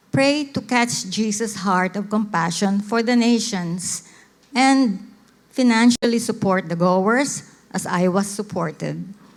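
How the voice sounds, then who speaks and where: The speaker has a Filipino accent and a fairly slow pace. Pitch varies in an ordinary way. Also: woman, medium pitch for a woman. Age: 70s. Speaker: missionary. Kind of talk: testimony talk to church audience.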